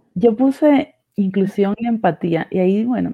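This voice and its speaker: The pitch varies in an ordinary way. The pace is very slow. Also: woman. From Cuba. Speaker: agile coach. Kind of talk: casual chat.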